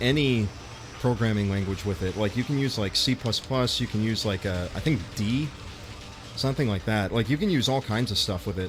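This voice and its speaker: A man with an American accent talks at a fairly quick pace. Noticeable background noise can be heard. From US, Los Angeles. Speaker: YouTuber and game streamer. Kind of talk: casual livestream chat. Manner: casual, many fillers.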